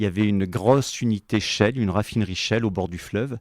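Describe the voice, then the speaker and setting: In a very clean recording with a silent background and a dry, close sound with no echo, a man with an unremarkable speaking voice talks at a fairly quick pace and a fairly low pitch. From France, moved around (Allier, Cuba, Médoc). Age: 40s. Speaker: company executive. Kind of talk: podcast interview.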